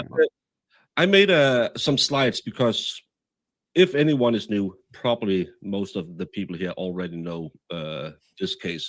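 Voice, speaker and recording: Speaking at a fairly slow pace with long, frequent pauses, a man with fairly low pitch makes very wide pitch swings in a very clean, silent-background recording whose sound is dry and close with no echo. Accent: Danish. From Denmark. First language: Danish. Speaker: podcast host. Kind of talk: live stream discussion. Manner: halting.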